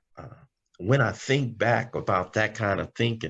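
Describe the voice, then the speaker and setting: Against a quiet background, a man with an American accent and a plain, everyday voice speaks at a moderate pace with fairly even intonation. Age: 60s. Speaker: recovering alcoholic speaker. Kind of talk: testimony. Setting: video call.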